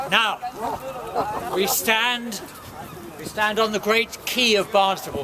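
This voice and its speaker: Crowd noise fills the background. A man with an extremely high pitch speaks in a raised, projected voice. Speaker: town crier. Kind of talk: guided tour talk explaining local history.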